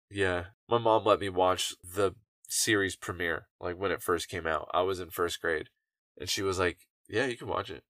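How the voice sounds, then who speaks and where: Recorded very cleanly against a silent background, a man talks at a moderate pace with a dry, close sound and no echo. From North Carolina (grew up from age ~7; born in Orlando, Florida). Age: 30s. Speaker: podcast guest, adult content creator. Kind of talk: casual chat. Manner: loud.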